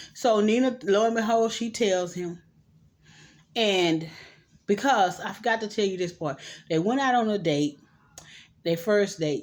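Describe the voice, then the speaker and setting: Long, frequent pauses break up a woman's speech at a moderate pace. Her pitch is medium, with ordinary pitch variation. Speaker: vlogger reviewing movies. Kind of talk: casual movie recap.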